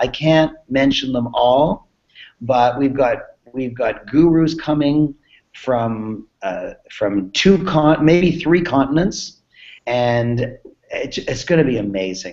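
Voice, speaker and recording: Very slowly, a man with a fairly high pitch speaks with lively intonation. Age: 60s. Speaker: business coach. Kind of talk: sales pitch. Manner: animated.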